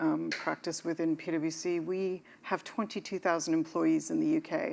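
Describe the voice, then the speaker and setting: A woman with an American accent speaks at a fairly slow pace in a fairly low pitch with lively intonation, on a very clean recording with a silent background. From Canada. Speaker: real estate consultant. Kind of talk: panel discussion.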